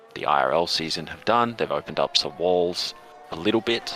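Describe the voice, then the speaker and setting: A man with an Australian accent speaks at a fairly low pitch with lively intonation over noticeable background noise. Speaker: esports league host and commentator. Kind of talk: live esports commentary chat. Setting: live stream. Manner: animated.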